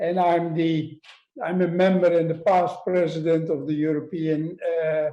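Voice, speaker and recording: With a Dutch accent, a man speaks at a high pitch in a dark, mellow tone. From Netherlands. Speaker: obstetrics professor. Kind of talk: lecture.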